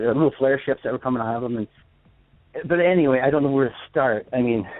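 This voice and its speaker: A man's medium-pitched voice at a fairly quick pace. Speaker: caller. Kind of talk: phone call-in testimony. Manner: fast; halting.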